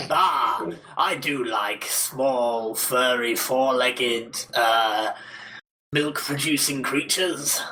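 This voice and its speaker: The speaker adopts a put-on character voice and talks at a very slow pace. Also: man, medium pitch for a man. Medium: audio drama. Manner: grandiose, cheerfully menacing.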